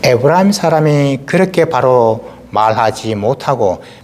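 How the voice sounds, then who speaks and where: A man speaks at a very slow pace with lively intonation. Noticeable background noise is present. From South Korea, Gyeongsang region. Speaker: pastor. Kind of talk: sermon.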